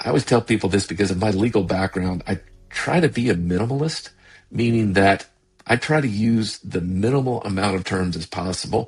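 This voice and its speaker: Over music in the background, a man with fairly low pitch and ordinary pitch variation talks at a fairly quick pace. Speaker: sales consultant and podcast host. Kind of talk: podcast monologue. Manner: fast.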